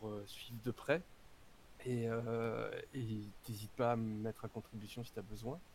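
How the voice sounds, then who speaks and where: A man's medium-pitched voice with fairly even intonation, a fairly slow pace, and long, frequent pauses. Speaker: actor and tabletop game author. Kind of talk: casual chat. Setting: live stream voice chat. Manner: halting, many hesitations.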